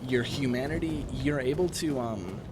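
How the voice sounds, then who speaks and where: A man with an American accent and lively intonation at a moderate pace, with audible room echo and noticeable background noise. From Wisconsin. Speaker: gaming streamer. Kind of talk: live gameplay stream chat. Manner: halting, repetitive.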